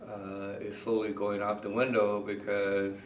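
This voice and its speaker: A man with an American accent speaks fairly slowly at a fairly low pitch. Audible room echo surrounds his voice. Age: 60s. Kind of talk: interview. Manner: halting, many fillers.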